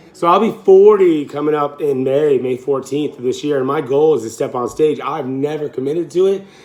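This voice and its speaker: A man talks at a fairly quick pace in a fairly high voice with ordinary pitch variation. Noticeable background noise can be heard. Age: 30s. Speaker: fitness coach. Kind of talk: casual vlog. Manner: casual, conversational.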